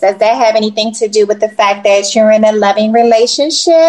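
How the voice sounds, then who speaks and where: Over noticeable background noise, a woman with a fairly high voice talks at a fairly quick pace. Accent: American. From US East Coast. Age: 50s. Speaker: podcast co-host. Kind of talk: casual chat.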